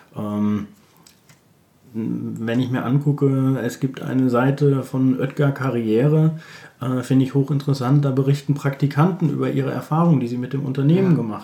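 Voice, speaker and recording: Dark, mellow tone from a man at medium pitch, fairly even intonation and a moderate pace. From Germany, Bielefeld. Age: 40s. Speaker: recruitment consultant. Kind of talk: interview.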